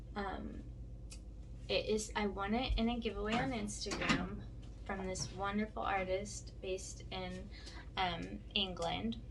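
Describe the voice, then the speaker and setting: A soft-spoken woman talks at a fairly slow pace, with long, frequent pauses. Room echo is audible, and there is noticeable background noise. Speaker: vlogger. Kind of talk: casual chat. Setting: home studio. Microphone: sounds very quiet on camera mic.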